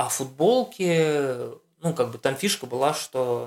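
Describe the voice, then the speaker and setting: Lively in intonation, a man speaks with a fairly high pitch. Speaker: race organizer and designer. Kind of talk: casual interview. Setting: in Armenia at a running camp. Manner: halting, many fillers.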